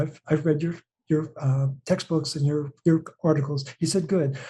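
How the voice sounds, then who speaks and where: A man with a fairly high pitch talks at a fairly quick pace in a dark, mellow tone that is somewhat breathy. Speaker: health coach and mineral advocate. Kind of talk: interview. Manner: animated.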